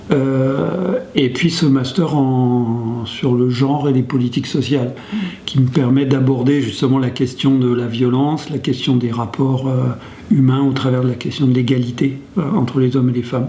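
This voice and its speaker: With audible room echo and noticeable background noise, a man speaks fairly slowly at medium pitch, his loudness very even and his intonation fairly even. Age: 60s. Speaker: sociologist working on domestic violence, men's group facilitator. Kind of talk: interview testimony. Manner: hesitant, many fillers.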